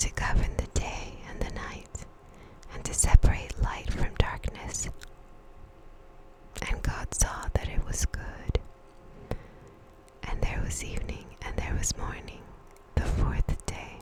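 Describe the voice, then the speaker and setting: Whispering at a very slow pace, a woman uses a soothing tone, with long, frequent pauses, big swings in loudness and noticeable background noise. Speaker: ASMR Bible reader. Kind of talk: ASMR Bible reading, sleep aid. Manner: whispered, soothing.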